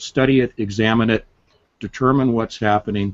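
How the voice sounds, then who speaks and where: A plain, everyday voice from a man, fairly low in pitch, with fairly even intonation. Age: 60s. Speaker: author. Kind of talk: interview. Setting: live stream.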